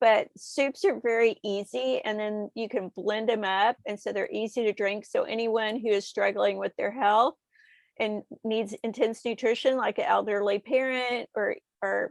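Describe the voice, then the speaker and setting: A woman with an American accent, fairly high in pitch, in an ordinary speaking voice at a moderate pace with fairly even intonation, in a dry, close sound with no echo and a quiet background. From Texas. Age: 60s. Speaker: nutritionist and author. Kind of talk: interview.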